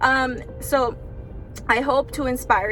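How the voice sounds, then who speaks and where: Over noticeable background noise, a woman with a high pitch and a Spanish accent talks at a very slow pace. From Mexican heritage, raised in US. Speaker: vlogger, body contouring business owner. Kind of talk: casual vlog talk to camera.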